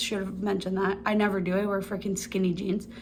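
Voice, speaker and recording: In a room with audible echo, a woman talks at a fairly quick pace. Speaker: lifestyle vlogger. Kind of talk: casual chat. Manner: fast; animated.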